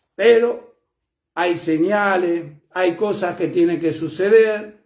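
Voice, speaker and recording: A man's high-pitched voice, very slow and fairly even in intonation, with audible room echo. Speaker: preacher. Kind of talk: sermon. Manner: loud; soft-spoken usually.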